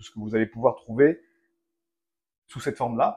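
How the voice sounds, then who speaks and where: A man talks fairly quickly, his tone dark and mellow. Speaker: cooking video host. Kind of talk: casual cooking tutorial.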